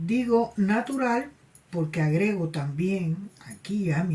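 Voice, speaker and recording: Her tone is dark, mellow, and somewhat breathy. The woman speaks at a very slow pace. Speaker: spiritualist medium and tarot channel host. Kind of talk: personal anecdote monologue. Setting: cold place. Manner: halting, with repetitions and fillers.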